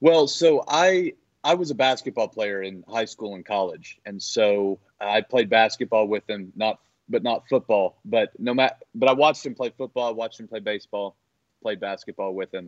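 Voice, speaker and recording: At a moderate pace, a man with a medium pitch speaks with lively intonation and big swings in loudness. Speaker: former classmate of a star athlete. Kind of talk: interview. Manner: halting.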